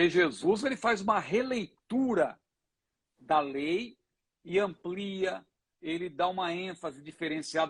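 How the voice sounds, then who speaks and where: With a high pitch and ordinary pitch variation, a man delivers his words. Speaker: pastor and Bible teacher. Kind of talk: Bible teaching in a live Q&A. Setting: Instagram live broadcast.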